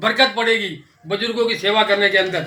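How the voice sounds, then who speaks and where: A man's raised, projected voice, monotone with flat intonation, at a moderate pace. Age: 70s. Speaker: vlogger. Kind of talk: casual vlog commentary. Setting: home kitchen.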